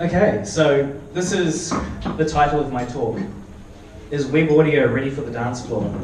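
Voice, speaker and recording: With audible room echo and noticeable background noise, a man with a New Zealand accent speaks at a moderate pace and fairly high pitch, using ordinary pitch variation and long, frequent pauses. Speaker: software developer and electronic musician. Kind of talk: conference talk with live demo. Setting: meetup stage with audience. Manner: casual, hesitant with fillers.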